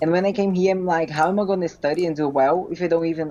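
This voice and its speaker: A woman's fairly low, dark, mellow voice with a Portuguese accent at a very fast pace. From Brazil. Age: 20s. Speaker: physique competitor. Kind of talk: interview. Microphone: connection freezing.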